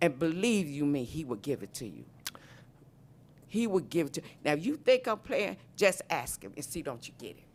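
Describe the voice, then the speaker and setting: At a moderate pace, a woman speaks in a very deep, low pitch with vocal fry. Her loudness swings widely, and her pitch swings are very wide. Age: 60s. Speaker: panelist on aging. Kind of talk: live panel discussion. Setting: stage with live audience. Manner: animated.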